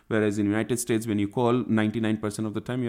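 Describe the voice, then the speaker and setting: Man with an Indian accent and a dark, mellow tone, on a very clean recording with a silent background. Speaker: SQL Server consultant. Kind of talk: interview. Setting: recording at a conference.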